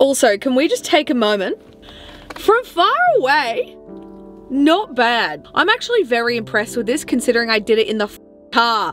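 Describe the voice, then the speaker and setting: Faint music plays in the background. Over it, a woman speaks at a fairly quick pace. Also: dry sound with no echo. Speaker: vlogger. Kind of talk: casual vlog chat. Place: car. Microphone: phone near.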